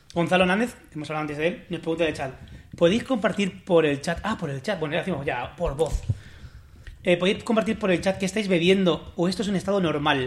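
Talking very fast with a La Mancha accent, a man uses a high pitch with ordinary variation. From Spain, La Mancha. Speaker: podcast host. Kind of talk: casual chat.

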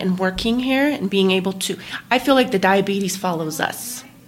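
A woman talks in a normal speaking voice at a medium pitch. Her pitch variation is ordinary. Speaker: medical assistant, parent of diabetic child. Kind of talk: interview.

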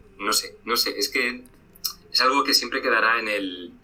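A man speaks at a moderate pace. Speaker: history YouTuber. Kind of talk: casual interview chat. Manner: halting, many fillers.

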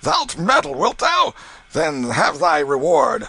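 A man's hoarse, bellowing, put-on character voice, high in pitch, at a fairly slow pace. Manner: roaring, bullying, coarse.

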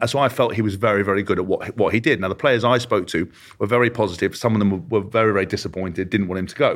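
A man with an English accent talks at a very fast pace. His fairly low pitch shows ordinary variation. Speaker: former rugby player and podcast co-host. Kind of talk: interview.

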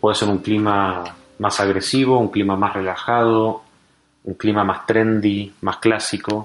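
A man speaks fairly slowly in a fairly low pitch, his intonation monotone and flat. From Argentina. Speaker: startup founder. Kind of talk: interview.

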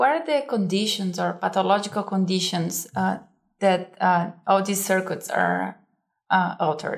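Speaking at a moderate pace, a woman talks with a Brazilian accent. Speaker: guest host, science communications.

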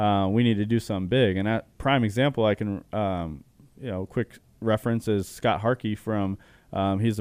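This man has an ordinary speaking voice and an American accent. His pitch is fairly low, with ordinary variation, and he talks at a moderate pace. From Arizona, Chandler. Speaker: clothing brand co-owner. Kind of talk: interview.

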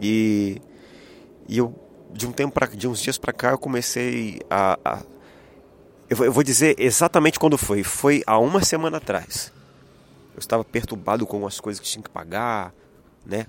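A man at a medium pitch and moderate pace, with long, frequent pauses. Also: ordinary pitch variation. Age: 30s. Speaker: podcast host, worship minister and illustrator. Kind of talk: solo inspirational monologue. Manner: halting.

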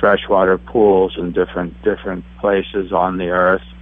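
A man with a very deep, low pitch. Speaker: herbalist and alchemist. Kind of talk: casual interview chat.

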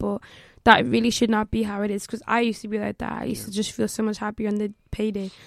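The speaker is a woman. She talks with a Limerick accent. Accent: Irish (Limerick). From Ireland, Limerick. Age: 20s. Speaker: law student and trader. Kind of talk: casual chat.

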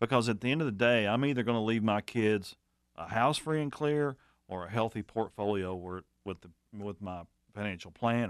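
An ordinary speaking voice moves at a fairly quick pace, with ordinary pitch variation and big swings in loudness. The background is quiet. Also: man, medium pitch for a man. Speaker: co-host, financial adviser.

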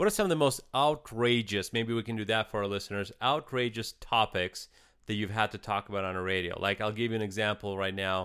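A man's fairly low voice with a slight Russian accent, ordinary pitch variation and a fairly quick pace. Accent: light Russian-accented English. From eastern Ukraine. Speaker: podcast co-host. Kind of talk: casual chat.

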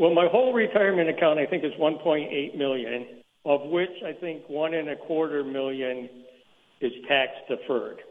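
Here a man with an ordinary speaking voice talks at a moderate pace in a fairly high pitch, with ordinary pitch variation. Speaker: mail carrier. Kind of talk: radio call-in. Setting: phone call.

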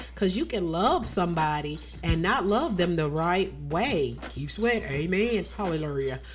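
At a fairly slow pace, a woman with a Southern US accent speaks with very even loudness. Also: hardly any pauses. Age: 40s. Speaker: radio host. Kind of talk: radio DJ patter, chatty and casual. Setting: live radio show studio.

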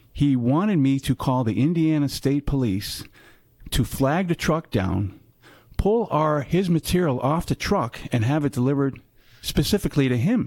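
A man speaks in an ordinary speaking voice at a fairly high pitch and moderate pace, with very even loudness, on a very clean recording with a silent background. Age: 50s. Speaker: metals branch manager. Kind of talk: casual interview. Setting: sales meeting in Nashville.

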